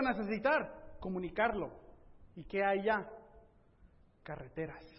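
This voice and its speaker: Pitch moves in an ordinary way as the man talks. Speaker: preacher. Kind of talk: sermon.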